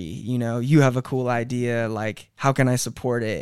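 With an American accent, the speaker uses a monotone, flat intonation in a very clean recording with a silent background. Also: man. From Ventura County, California. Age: 30s. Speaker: music manager and entrepreneur. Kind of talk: casual chat.

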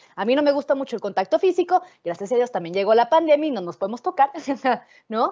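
At a very fast pace, a high-pitched woman speaks with very wide pitch swings. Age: 20s. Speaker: philosophy lecturer. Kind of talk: lecture. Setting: video call.

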